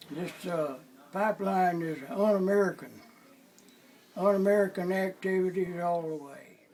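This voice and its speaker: A man with a high pitch speaks at a moderate pace with fairly even intonation, making long, frequent pauses. His loudness swings a lot, and there is noticeable background noise. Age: 90s. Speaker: activist. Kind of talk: interview testimony.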